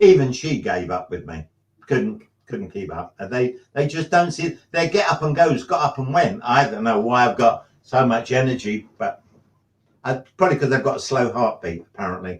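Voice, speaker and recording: Somewhat breathy and medium in pitch, a man speaks at a moderate pace with very wide pitch swings. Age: 70s. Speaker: drummer. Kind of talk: casual chat. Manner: halting.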